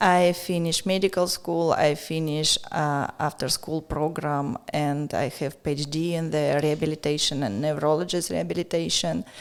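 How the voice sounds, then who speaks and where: In a Russian accent, a woman talks at a very deep, low pitch with fairly even intonation and hardly any pauses. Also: moderate pace. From Russia, near Moscow. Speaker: art gallery owner. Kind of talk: casual interview. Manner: halting.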